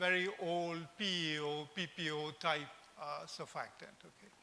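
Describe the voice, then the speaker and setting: In a room with audible echo, a man speaks at a high pitch and a very slow pace with monotone, flat intonation. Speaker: invited conference speaker. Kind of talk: conference lecture.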